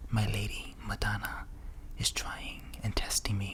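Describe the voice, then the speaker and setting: A man whispers at a fairly slow pace. Noticeable background noise runs underneath. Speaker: ASMR creator. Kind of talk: ASMR story reading, history narration. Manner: whispered, soft-spoken.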